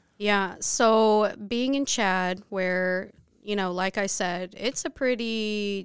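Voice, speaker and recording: The recording is very clean, with a silent background. A woman talks in a normal speaking voice, medium in pitch with ordinary pitch variation. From Texas, Dallas area. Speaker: missionary. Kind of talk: interview.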